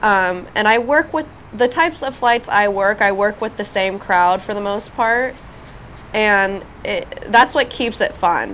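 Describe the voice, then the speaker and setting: Speaking at a fairly slow pace, a woman uses an ordinary speaking voice with fairly high pitch and ordinary pitch variation. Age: 30s. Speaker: flight attendant. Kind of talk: casual chat.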